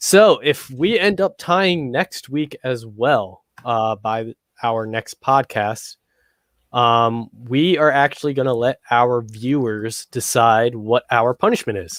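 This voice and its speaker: In a very clean recording with a silent background and a dry, close sound with no echo, a man with an American accent speaks very slowly at a medium pitch with lively intonation. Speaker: sports podcast co-host. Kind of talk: casual chat.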